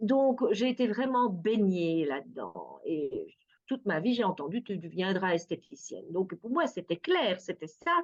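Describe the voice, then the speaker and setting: Lively in intonation, a woman speaks at a medium pitch. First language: Dutch (speaking French). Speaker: perfumer and art therapist. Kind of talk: interview. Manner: hesitant, many fillers.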